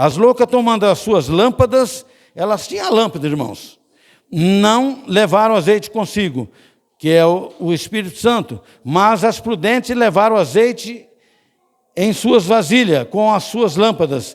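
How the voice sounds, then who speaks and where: In a very clean recording with a silent background, a man with a high voice speaks at a fairly slow pace using lively intonation. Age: 70s. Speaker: deacon preaching. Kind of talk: sermon.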